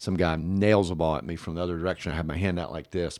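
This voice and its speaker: On a very clean recording with a silent background, a man in a Tennessee accent rushes at a very fast pace, his very deep, low voice keeping fairly even intonation. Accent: Southern US (Tennessee). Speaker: city mayor. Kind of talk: casual chat.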